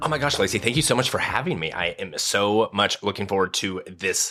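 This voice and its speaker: Lively in intonation, a man talks at a fairly quick pace with an American accent. Noticeable background noise sits behind him. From Nebraska. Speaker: podcast marketing expert. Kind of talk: interview. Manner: halting.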